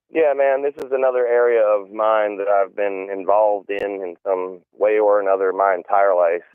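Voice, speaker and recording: An ordinary speaking voice from a man with an American accent, fairly low in pitch, at a moderate pace with ordinary pitch variation. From US South, small-town North Carolina. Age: 40s. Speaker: country rap musician. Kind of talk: interview. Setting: phone call.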